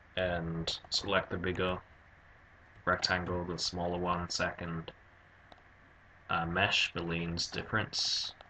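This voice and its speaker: In a monotone, flat delivery, a man with a very deep, low pitch speaks at a very slow pace, leaving long, frequent pauses. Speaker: 3D animation tutor. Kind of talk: software tutorial narration.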